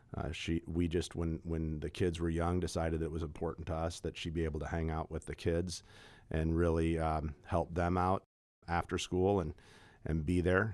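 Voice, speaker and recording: In a very clean recording with a silent background, a man with an American accent speaks in a very deep, low, monotone voice at a moderate pace. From Kansas City area. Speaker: personal wealth manager. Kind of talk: casual interview.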